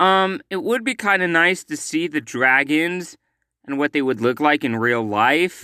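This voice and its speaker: In a very clean recording with a silent background, a man speaks fairly slowly in a bright, sharp tone, the sound dry and close with no echo. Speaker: movie commentary youtuber. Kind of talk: casual vlog commentary. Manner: hesitant, many fillers; loud.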